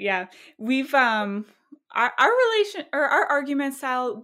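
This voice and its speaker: A woman's high-pitched voice moves through very wide pitch swings. Her tone is bright and sharp. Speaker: podcast host. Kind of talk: casual interview conversation.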